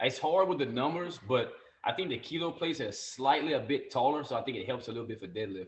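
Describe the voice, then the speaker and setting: The man's voice is fairly high in pitch with lively intonation. He talks at a very fast pace. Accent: Louisiana. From Louisiana, USA. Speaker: gym owner, powerlifter. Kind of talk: podcast guest conversation.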